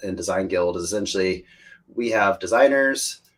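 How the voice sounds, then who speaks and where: With an American accent, a man speaks in a plain, everyday voice, fairly low in pitch, with ordinary pitch variation at a moderate pace. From United States. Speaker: crypto community member and photographer. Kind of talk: podcast interview. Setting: live recorded online podcast.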